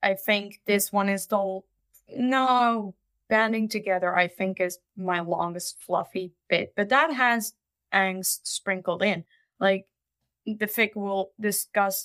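Very slowly, a woman speaks in a Dutch accent with fairly even intonation, in a very clean recording with a silent background. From Netherlands. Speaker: fanfiction writer. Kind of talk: casual interview.

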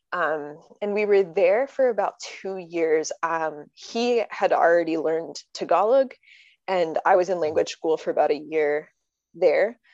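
A woman with an American accent speaks at a fairly low pitch with ordinary pitch variation. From US Northeast, Connecticut. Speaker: Enneagram coach and entrepreneur. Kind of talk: casual interview chat.

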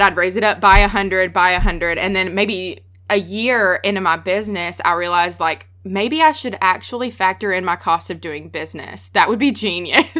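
At a fairly quick pace with hardly any pauses, a woman with a strong Southern US accent and a medium pitch speaks in a bright, sharp tone with ordinary pitch variation. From US South, Texas. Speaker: freelance photographer. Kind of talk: casual interview chat.

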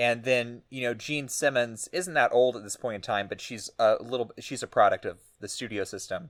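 An American-accented man speaks at a medium pitch and moderate pace, with ordinary pitch variation and big swings in loudness, on a very clean recording with a silent background. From Texas, small town. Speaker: film podcast co-host. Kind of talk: casual chat. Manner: halting, many fillers.

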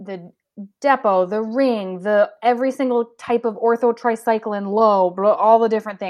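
This woman has an unremarkable speaking voice, pitched fairly high, with ordinary pitch variation and a moderate pace. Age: 30s. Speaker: nurse. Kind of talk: interview.

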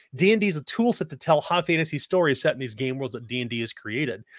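A man speaks in a normal speaking voice with lively intonation, in a dry, close sound with no echo. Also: very clean recording, silent background. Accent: American. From United States. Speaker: game designer. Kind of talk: casual chat.

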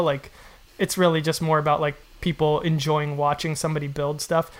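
A man talks fairly quickly on a very clean recording where the background is silent. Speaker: podcast host and woodworker. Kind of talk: casual interview. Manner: fast.

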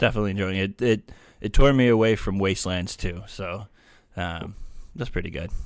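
A man talks fairly quickly in a plain, everyday voice, fairly low in pitch. The recording is very clean, with a silent background. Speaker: former co-host, guest. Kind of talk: casual chat. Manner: joking, deadpan.

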